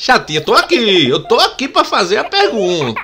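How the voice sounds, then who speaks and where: A man raises and projects his voice, his pitch swinging very widely. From Pernambuco, Brazil. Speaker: sports commentator and YouTuber. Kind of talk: angry rant about football authorities, sarcastic and indignant, addressing the STJD. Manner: indignant, sarcastic, emphatic, repeating for emphasis; outspoken, opinionated, informal. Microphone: studio mic.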